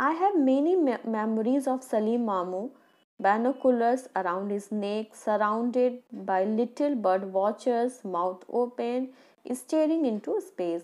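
A woman with an Indian accent speaks at a fairly slow pace with lively intonation. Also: fairly high pitch for a woman, quiet background. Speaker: school teacher. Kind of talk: lecture. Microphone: phone near.

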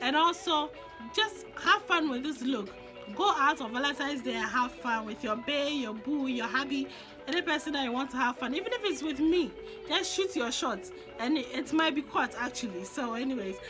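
A woman with a high pitch speaks at a moderate pace in a raised, projected voice with lively intonation. Music plays in the background. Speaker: makeup vlogger. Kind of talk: casual makeup tutorial talk to camera.

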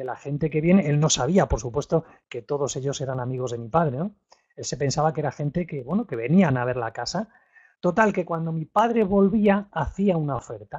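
A man talks fairly quickly, with lively intonation and a fairly high, somewhat breathy voice. The background is quiet. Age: 50s. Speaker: real estate investment trainer. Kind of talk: webinar lecture. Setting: live online webinar. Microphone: studio mic.

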